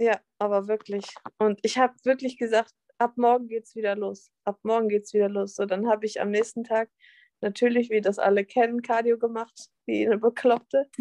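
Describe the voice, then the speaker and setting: In a dry, close recording with no echo, a woman with a fairly high pitch and a dark, mellow tone speaks in a monotone, flat intonation. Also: moderate pace. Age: 20s. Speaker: fitness athlete and nutrition coach. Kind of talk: casual interview.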